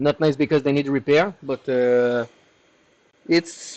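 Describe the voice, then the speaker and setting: A man speaks with a French accent. His pace is fairly slow. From Quebec, Canada. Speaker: hardware repair technician. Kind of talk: live stream tutorial, reading chat questions. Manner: casual, with frequent hesitations.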